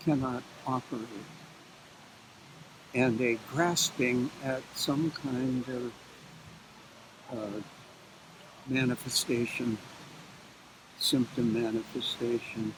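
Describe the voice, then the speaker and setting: Noticeable background noise sits behind a man. He speaks at a very slow pace with long, frequent pauses. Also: medium pitch for a man. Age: 80s+. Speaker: psychologist. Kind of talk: interview answer. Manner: slow, halting.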